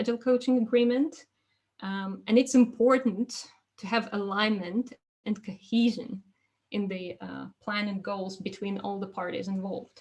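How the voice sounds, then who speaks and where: A woman with a fairly high, somewhat breathy voice talks at a moderate pace with fairly even intonation. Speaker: agile coach and presenter. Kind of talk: webinar presentation.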